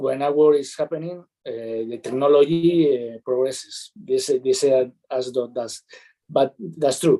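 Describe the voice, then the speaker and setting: Speaking with a Spanish accent, a man uses a dark, mellow tone at a fairly high pitch, with ordinary pitch variation and a fairly slow pace, in a dry, close sound with no echo. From Spain. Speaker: startup accelerator mentor. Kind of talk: webinar interview. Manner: halting, many fillers.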